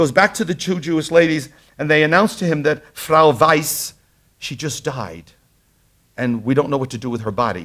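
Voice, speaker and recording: A man's fairly high voice with a strong Brooklyn accent, vocal fry and lively intonation, at a fairly quick pace, in a very clean recording over a silent background. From Brooklyn, New York. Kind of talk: lecture. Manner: animated storytelling.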